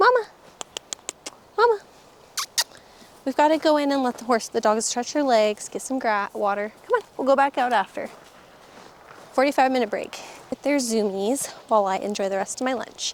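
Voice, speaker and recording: A woman with a high voice, moderate pace and long, frequent pauses over noticeable background noise. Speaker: homesteader and vlogger. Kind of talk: casual vlog talk. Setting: outdoors on a farm. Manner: casual, rambling.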